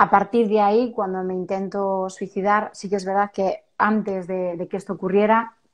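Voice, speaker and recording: Against a quiet background, a woman speaks at a moderate pace with hardly any pauses, a medium pitch and flat, monotone intonation. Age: 40s. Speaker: self-help author. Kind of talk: interview testimony.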